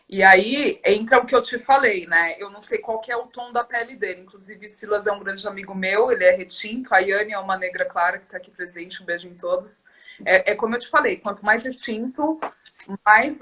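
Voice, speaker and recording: A woman with a fairly high pitch talks at a fairly quick pace with ordinary pitch variation. Her loudness swings widely, and noticeable background noise can be heard. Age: 30s. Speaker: activist guest. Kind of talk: casual chat.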